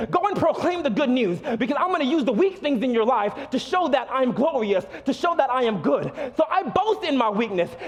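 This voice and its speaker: Over noticeable background noise, a speaker with an American accent talks at a fairly quick pace in an animated tone, keeping very even loudness while making very wide pitch swings. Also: man, extremely high pitch for a man. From South Florida. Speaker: pastor. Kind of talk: sermon. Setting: church stage with congregation.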